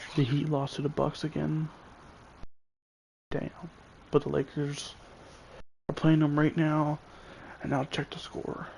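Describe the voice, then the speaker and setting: A man's whisper, somewhat breathy, fairly slow, broken by long, frequent pauses. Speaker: gamer streaming gameplay. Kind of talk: casual live-stream commentary. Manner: whispering.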